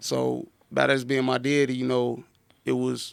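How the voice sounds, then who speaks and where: A man is speaking. He has a Southern US accent. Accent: down south. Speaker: entrepreneur and author. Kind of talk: podcast interview, life story. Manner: halting, repetitive.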